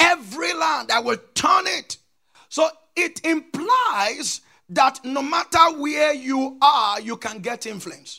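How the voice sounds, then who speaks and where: Shouting, a man's voice climbs to an extremely high pitch. He goes at a very slow pace with lively intonation. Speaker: pastor. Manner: emphatic and repetitive, drilling key phrases and prompting the congregation to answer.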